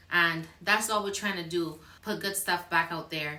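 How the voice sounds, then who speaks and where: A woman's fairly slow speech, with ordinary pitch variation, comes through audible room echo. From Barbados. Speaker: YouTuber. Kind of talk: casual chat.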